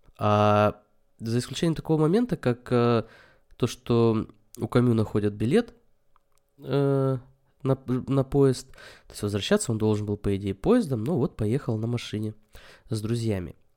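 At a fairly slow pace with long, frequent pauses, a man of medium pitch speaks in a dark, mellow tone with ordinary pitch variation. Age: 30s. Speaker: podcast host. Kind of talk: solo monologue on philosophy. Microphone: new microphone.

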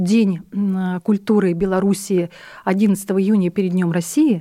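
Her tone is dark and mellow, with ordinary pitch variation. The woman's recording is very clean, against a silent background. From Russia, military towns; born in Buryatia. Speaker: head of an ethnic community association. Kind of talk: radio interview.

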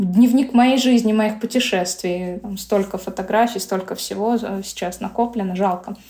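At a moderate pace, a woman speaks with fairly even intonation and medium pitch against noticeable background noise. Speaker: blogger. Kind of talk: interview.

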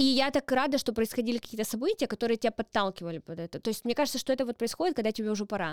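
A woman's high-pitched voice at a very fast pace, with lively intonation, in a dry, close sound with no echo and a very clean recording on a silent background. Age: 30s. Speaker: comedian. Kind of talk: casual chat.

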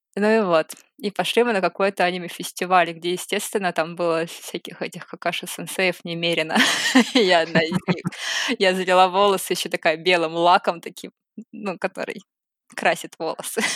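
At a moderate pace, a woman talks with fairly even intonation in a dry, close recording with no echo. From Saint Petersburg, Russia. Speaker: cosplayer and artist. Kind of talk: casual chat.

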